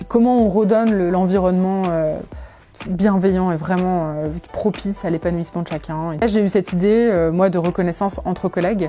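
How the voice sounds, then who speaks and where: Music in the background under a woman's medium-pitched voice, fairly quick pace, and fairly even intonation. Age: 30s. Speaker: startup founder. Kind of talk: testimony. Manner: hesitant, many fillers.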